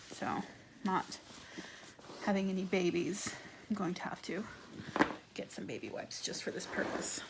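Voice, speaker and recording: Someone whispers at a moderate pace, with long, frequent pauses and noticeable background noise behind them. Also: woman. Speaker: handbag restorer. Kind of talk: ASMR tutorial talk to camera. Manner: soft-spoken.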